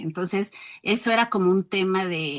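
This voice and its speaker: A woman with an ordinary speaking voice and medium pitch. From rural Mexico. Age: 60s. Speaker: educator. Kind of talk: interview.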